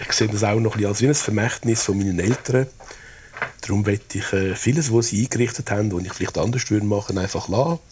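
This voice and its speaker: Somewhat breathy and fairly low-pitched, a man talks at a fairly quick pace. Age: 70s. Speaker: retired public health official. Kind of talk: personal audio diary.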